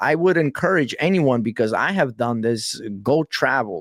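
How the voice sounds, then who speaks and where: A man with a New York accent, medium in pitch, fairly slow, with lively intonation and very even loudness. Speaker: podcast host and hip hop artist. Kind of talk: casual interview chat. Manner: casual, slangy.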